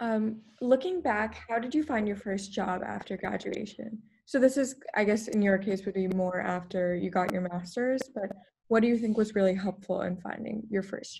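A woman with a normal speaking voice talks at a moderate pace. Her pitch is fairly high, with ordinary variation. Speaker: peer career advisor. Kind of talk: interview. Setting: video call.

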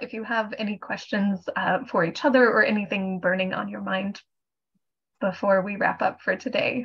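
Somewhat breathy, a woman speaks at a moderate pace over a quiet background. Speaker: webinar moderator. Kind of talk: webinar hosting. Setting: video call. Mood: warm, polite. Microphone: video call.

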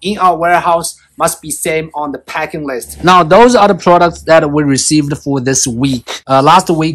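With a fairly bright tone, a man talks at a moderate pace and with ordinary pitch variation.

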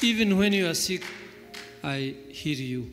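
Faint music plays in the background. A man talks at a fairly slow pace. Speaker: church elder preaching. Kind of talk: sermon. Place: hall. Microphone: handheld.

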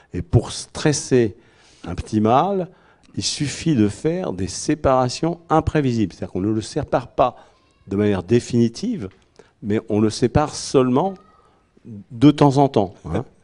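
Against a quiet background, a man with a dark, mellow tone speaks at a fairly slow pace with very wide pitch swings and long, frequent pauses. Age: old. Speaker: medical doctor; conference speaker. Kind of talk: discussion. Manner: halting. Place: hall. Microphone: handheld.

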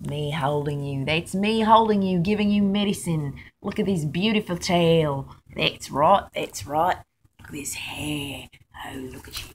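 The voice is somewhat breathy and moves at a fairly slow pace, with ordinary pitch variation, big swings in loudness, and light background noise. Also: woman, fairly low pitch for a woman. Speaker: pet owner. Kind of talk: casual talk to pet on video. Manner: affectionate, emotional. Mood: tender, encouraging. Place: home room. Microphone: phone near.

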